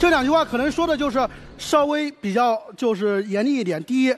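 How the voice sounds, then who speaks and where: A man speaks at a fairly quick pace with lively intonation and an extremely high pitch, over noticeable background noise. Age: 20s. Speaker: job applicant, university student. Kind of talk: job interview on TV show.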